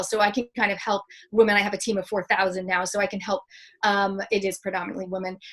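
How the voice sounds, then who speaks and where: A woman speaks with a Canadian accent. Her pace is very fast. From Canada. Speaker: public speaker and mentor. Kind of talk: interview.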